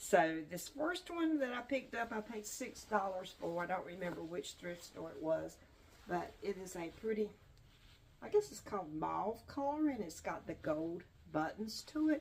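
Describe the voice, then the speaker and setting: A woman's relaxed, medium-pitched voice at a moderate pace, with very wide pitch swings and big swings in loudness. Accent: North Carolina. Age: 70s. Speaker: online reseller vlogger. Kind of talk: casual vlog talk. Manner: relaxed, with frequent fillers.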